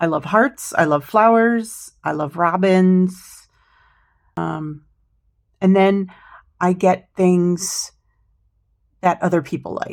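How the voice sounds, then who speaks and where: With an American accent, a woman speaks at a very slow pace and medium pitch. Her pitch variation is ordinary, and she leaves long, frequent pauses. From United States. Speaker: craft vlogger. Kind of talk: casual haul vlog. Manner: hesitant, with many fillers.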